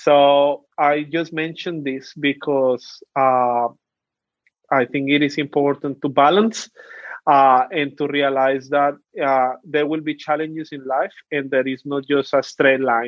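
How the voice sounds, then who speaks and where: With a Colombian accent, a man speaks at a fairly slow pace and fairly high pitch, his intonation fairly even. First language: Spanish. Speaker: youth policy officer. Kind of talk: interview.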